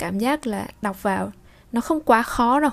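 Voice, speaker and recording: A woman talks at a moderate pace in a fairly high pitch, with ordinary pitch variation. It is an unremarkable speaking voice. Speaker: French language teacher, channel host. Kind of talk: bilingual language lesson with reading aloud.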